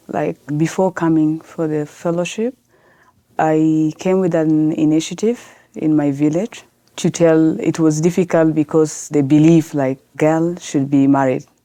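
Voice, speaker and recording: A woman with a Sudanese accent speaks at a fairly slow pace, her pitch very deep and low and her tone dark and mellow. Her intonation stays fairly even, and the sound is dry and close with no echo. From South Sudan, grew up in Khartoum, Sudan. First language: Arabic. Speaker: lawyer and women's rights activist. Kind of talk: podcast interview. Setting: podcast recording.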